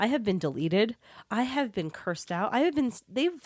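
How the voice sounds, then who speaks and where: The recording is very clean and the background silent. The voice swings very widely in pitch. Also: woman. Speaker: podcast co-host. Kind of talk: casual chat.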